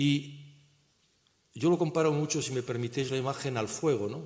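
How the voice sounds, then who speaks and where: The voice shows ordinary pitch variation. There is audible room echo. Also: man. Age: 70s. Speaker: economist and conference speaker. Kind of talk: conference talk. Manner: halting.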